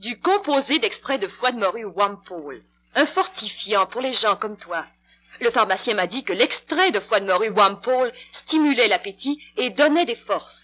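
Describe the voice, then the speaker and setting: This woman speaks at a fairly slow pace with a fairly high pitch. Her pitch swings very widely. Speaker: radio actress. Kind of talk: dramatized radio commercial.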